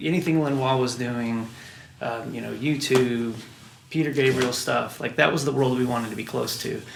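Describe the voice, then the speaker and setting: Over noticeable background noise and audible room echo, a man with an American accent speaks at a moderate pace, medium pitch and ordinary pitch variation. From US Midwest (Wichita, Kansas). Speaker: record producer and musician. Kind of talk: interview.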